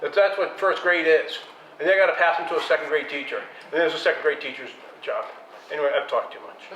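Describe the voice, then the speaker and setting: A man with an American accent talks at a very fast pace, his loudness swinging widely, with long, frequent pauses, audible room echo and noticeable background noise. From United States. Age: 60s. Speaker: filmmaker. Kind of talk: panel discussion. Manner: animated.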